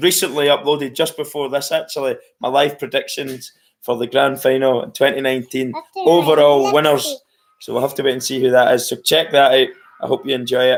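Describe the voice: A man's put-on character voice, hoarse and fairly high, delivered at a fairly quick pace with fairly even intonation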